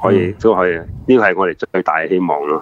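Here is a man with a Hong Kong accent. His intonation stays fairly even. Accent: Hong Kong Cantonese. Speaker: former police officer, retired banker. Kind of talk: live talk show interview.

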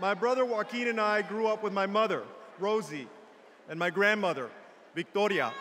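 With light background noise behind him, a man uses a raised, projected voice with ordinary pitch variation. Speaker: politician giving a convention keynote. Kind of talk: political speech. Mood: warm, personal storytelling. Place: hall. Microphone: podium.

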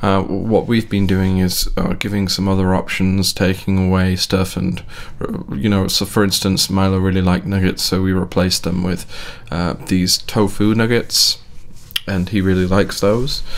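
Here a man has a very deep, low pitch. His intonation is fairly even. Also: moderate pace. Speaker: parent vlogger. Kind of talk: casual vlog chat. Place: home room. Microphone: studio mic.

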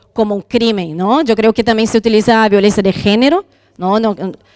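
Against a quiet background, a woman with a Portuguese accent speaks at a fairly high pitch with ordinary pitch variation. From Brazil. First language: Portuguese (speaking Spanish). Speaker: university lecturer and historian; university lecturer. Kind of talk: panel discussion. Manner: halting. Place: hall. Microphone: handheld.

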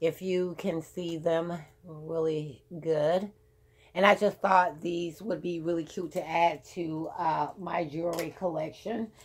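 A woman reads at a very slow pace with fairly even intonation. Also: fairly low pitch for a woman. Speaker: beauty and fashion vlogger. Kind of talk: casual chat. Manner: rambling, filler words. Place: home room. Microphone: phone near.

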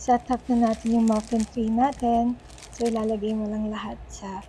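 The speech runs at a moderate pace with light background noise underneath. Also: woman. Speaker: food vlogger. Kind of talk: casual vlog chat. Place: home room. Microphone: phone near.

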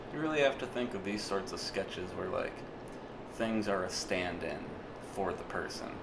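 Over loud background noise, a man with a fairly low pitch talks at a moderate pace in a relaxed tone, with ordinary pitch variation and long, frequent pauses. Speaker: illustrator. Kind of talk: casual voice-over narration of a drawing video. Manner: relaxed, rambling, hesitant. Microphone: studio mic.

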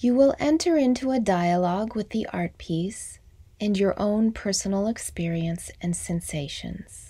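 A woman speaks at a medium pitch and a fairly slow pace. Her tone is calm, soothing, dark and mellow, and somewhat breathy. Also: lively intonation. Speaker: MBSR teacher. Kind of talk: guided meditation. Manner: slow, calm, soothing with long pauses; soft-spoken, gentle.

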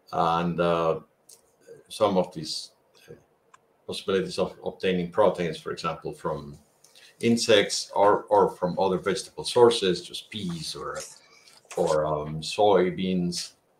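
Speaking at a fairly slow pace, a man leaves long, frequent pauses, his loudness swinging widely amid audible room echo. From Colombia. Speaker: engineering professor. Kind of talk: panel discussion. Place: home room. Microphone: video call.

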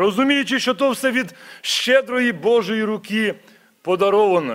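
A man talks at a fairly slow pace in an extremely high pitch. The background is quiet. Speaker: church minister. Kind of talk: prayer. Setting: church. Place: church. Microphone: podium.

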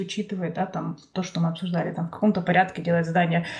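A woman speaks over noticeable background noise. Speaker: podcast host. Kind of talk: casual interview.

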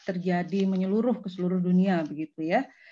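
The woman's tone is dark and mellow, and her intonation stays fairly even. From West Java, Indonesia (Bandung); West Java, Indonesia. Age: 40s. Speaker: university lecturer. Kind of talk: lecture. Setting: video call. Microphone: video call.

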